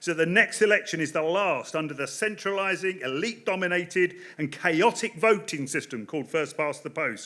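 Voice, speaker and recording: The speech runs at a fairly quick pace with hardly any pauses. Pitch variation is ordinary. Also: man, high pitch for a man. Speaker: political campaign director. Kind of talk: political speech. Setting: stage with audience. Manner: fast.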